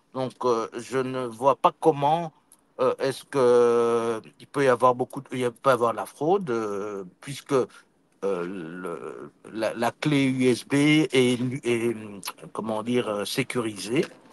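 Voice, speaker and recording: The sound is dry and close, with no echo. A man speaks very slowly at a medium pitch, with ordinary pitch variation. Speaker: former senator, election observer. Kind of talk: interview. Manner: halting, many hesitations.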